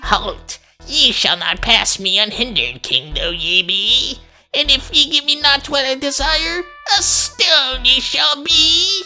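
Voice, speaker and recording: A put-on character voice at a high pitch and fairly slow pace, with faint music in the background. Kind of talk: archaic, theatrical. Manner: stern, threatening, commanding.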